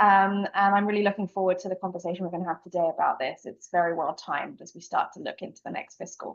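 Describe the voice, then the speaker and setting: Speaking at a very fast pace with hardly any pauses, a woman with a British accent keeps a medium pitch and fairly even intonation while her loudness swings widely. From Britain. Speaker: sales planning and compensation executive. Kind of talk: panel discussion.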